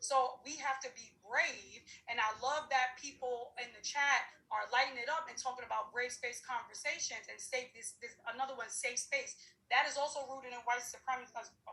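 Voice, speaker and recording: A woman speaks in a raised, projected voice at a moderate pace. Her tone is bright and sharp, and her pitch is high. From New York City, Harlem. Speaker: diversity and inclusion practitioner. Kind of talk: panel discussion. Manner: animated.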